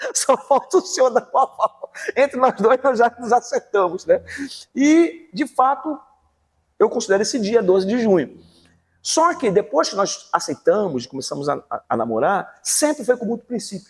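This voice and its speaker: Extremely high pitch for a man, very wide pitch swings and a moderate pace, recorded dry and close with no echo. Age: 60s. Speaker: pastor and teacher. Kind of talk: interview testimony.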